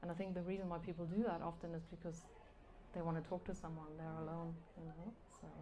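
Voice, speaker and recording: A woman speaks very fast in a flat monotone, her tone dark, mellow and somewhat breathy, with long, frequent pauses. Room echo is audible. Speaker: novelist. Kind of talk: live interview. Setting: live event with audience. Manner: hesitant, with fillers.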